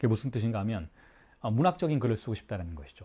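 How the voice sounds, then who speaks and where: A man with a medium pitch has a somewhat breathy voice and a dark, mellow tone. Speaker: psychoanalysis lecturer. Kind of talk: lecture. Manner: fast.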